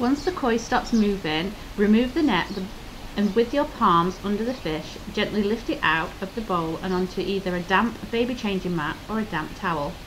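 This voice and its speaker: A woman's medium-pitched voice at a moderate pace amid noticeable background noise. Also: lively intonation. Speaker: voiceover narrator, host's wife. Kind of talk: scripted narration, instructions.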